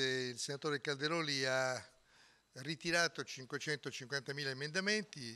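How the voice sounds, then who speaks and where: Bright, sharp tone with fairly even intonation. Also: man. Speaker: politician at press statement. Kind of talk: press statement. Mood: firm, argumentative. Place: hall. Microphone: podium.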